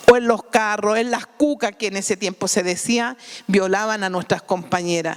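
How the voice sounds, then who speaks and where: Ordinary pitch variation at a moderate pace, with noticeable background noise behind it. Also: woman. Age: 60s. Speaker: sex worker union activist. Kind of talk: panel talk. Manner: halting.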